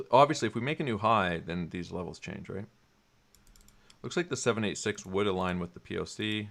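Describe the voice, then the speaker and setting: Over a silent background in a very clean recording, a man speaks at a fairly low pitch with ordinary pitch variation. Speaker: crypto chart analyst streamer. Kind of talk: live stream chart analysis. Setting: live stream. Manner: fast.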